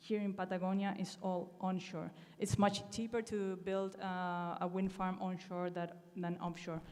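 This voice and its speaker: Monotone, flat delivery in an Argentinian accent, at a fairly slow pace with hardly any pauses and audible room echo. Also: woman, medium pitch for a woman. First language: Spanish. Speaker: conference speaker, renewable energy professional. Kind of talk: conference talk with slides. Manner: hesitant, many fillers.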